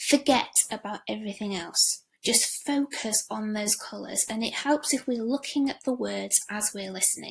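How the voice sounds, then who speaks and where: Delivered at a medium tempo, the speech flows along with almost no breaks. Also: woman. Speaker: language teacher. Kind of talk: lesson for pupils.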